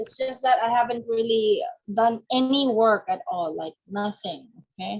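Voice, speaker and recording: With a non-native accent, a woman speaks at a fairly slow pace using lively intonation. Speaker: coaching client. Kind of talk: coaching session. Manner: halting.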